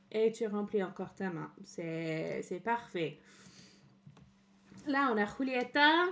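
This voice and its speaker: A woman at medium pitch speaks with a slight English accent and lively intonation. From England. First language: English (speaking French). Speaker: streamer. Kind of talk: casual livestream commentary. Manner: halting, many fillers.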